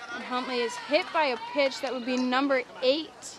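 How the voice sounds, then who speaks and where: Noticeable background noise sits under this recording. A woman speaks at a fairly slow pace with a high pitch. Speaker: live sports commentator. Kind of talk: live commentary. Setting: outdoors on a balcony. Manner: loud. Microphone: camera mic, no microphone.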